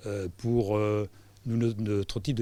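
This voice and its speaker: A dark, mellow tone comes through at a fairly slow pace on a very clean recording with a silent background. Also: man. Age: 70s. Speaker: business owner. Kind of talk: interview. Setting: live event at a co-working space. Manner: halting.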